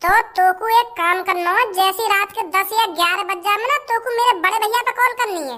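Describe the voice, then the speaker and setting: In a cartoonish character voice, a woman talks at a very fast pace with extremely high pitch and lively intonation. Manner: bossy, quick, coaxing.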